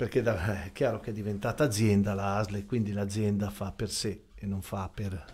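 A man talks at a moderate pace with hardly any pauses, his fairly low voice somewhat breathy and his intonation fairly even. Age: 60s. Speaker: volunteer ambulance association president; guest. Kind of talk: radio interview. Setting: radio studio. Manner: formal. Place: studio. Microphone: studio mic.

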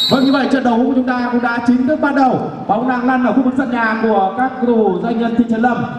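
Over noticeable background noise, a man with an extremely high pitch talks at a very fast pace in an animated tone, with very even loudness and hardly any pauses. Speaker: football commentator. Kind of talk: live sports commentary of an amateur football match. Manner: animated, fast-paced play-by-play delivery; excited, building tension around shots and free kicks.

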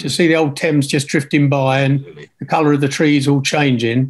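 This man's voice sits fairly high, with ordinary pitch variation. The background is quiet. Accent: southern English. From Kent, England. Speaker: retired engineer, churchgoer; interview guest. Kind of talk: casual interview. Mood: reflective, calm. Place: home room. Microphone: video call.

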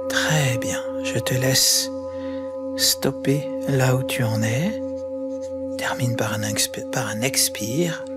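A man at a very slow pace, with long, frequent pauses and loud music in the background. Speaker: guided meditation and sound healing guide. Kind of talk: guided yoga nidra meditation. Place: home room. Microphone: studio mic.

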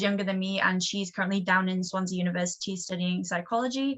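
Speech with a North Welsh accent and fairly even intonation. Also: woman. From North Wales, Gwynedd. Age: 20s. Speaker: college soccer player. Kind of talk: presentation.

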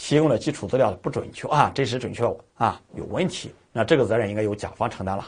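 A man's somewhat breathy voice, fairly quick with lively intonation, against a quiet background. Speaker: exam prep lecturer. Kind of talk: lecture.

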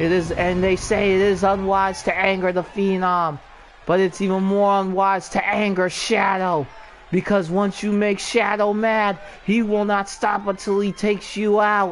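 Noticeable noise runs in the background. The speaker moves at a fairly slow speed. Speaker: wrestling commentator. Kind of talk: live commentary.

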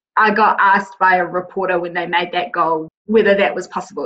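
With a New Zealand accent, a woman speaks at a fairly quick pace. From New Zealand, Wellington. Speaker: nonprofit general manager. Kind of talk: interview. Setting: podcast recording.

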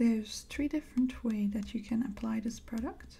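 A woman speaks in a gentle tone at a moderate pace. She is soft-spoken. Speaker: crafter. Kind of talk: casual talk to camera while crafting. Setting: studio, close microphone. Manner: soft-spoken, gentle.

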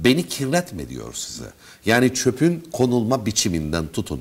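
The man's voice shows vocal fry. He talks at a fairly slow pace. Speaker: radio host. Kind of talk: interview. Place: studio. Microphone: lapel.

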